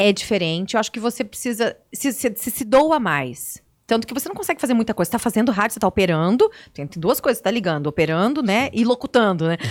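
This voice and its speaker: A woman speaks very fast at a fairly high pitch, her voice swinging very widely up and down. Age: 40s. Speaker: TV and radio presenter. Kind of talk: interview.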